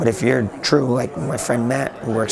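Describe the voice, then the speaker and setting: A man talks amid noticeable background noise, with room echo audible. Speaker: IT blogger. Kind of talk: interview. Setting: conference. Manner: halting.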